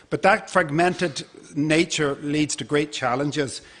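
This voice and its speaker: A man speaks with an Irish accent at a very slow pace. His pitch is fairly high. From Ireland. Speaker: conservation project manager. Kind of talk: conference presentation.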